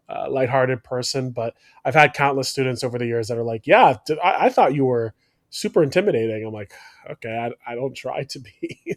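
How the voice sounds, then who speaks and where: This man has an ordinary speaking voice of medium pitch with ordinary pitch variation, talking at a fairly quick pace. His loudness swings widely, and the sound is dry and close with no echo. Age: 30s. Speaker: podcast host and former teacher. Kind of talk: casual chat.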